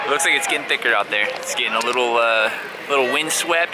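A man with an American accent and fairly high pitch, ordinary pitch variation, a dry sound with no echo, and loud background noise. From California. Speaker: vlogger and cyclocross racer; vlogger. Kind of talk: casual vlog narration; casual vlog chat. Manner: animated. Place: open country. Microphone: phone near.

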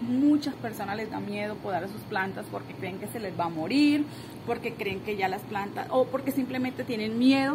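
A woman at a moderate pace against noticeable background noise. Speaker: gardening vlogger. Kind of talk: casual vlog chat. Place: garden. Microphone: phone near.

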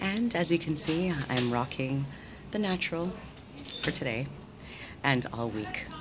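Background noise is noticeable throughout. A woman talks over it. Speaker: motivational vlogger. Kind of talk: motivational talk to camera. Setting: hospital surgery preadmission. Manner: whispered. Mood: warm, upbeat, encouraging. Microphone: phone near.

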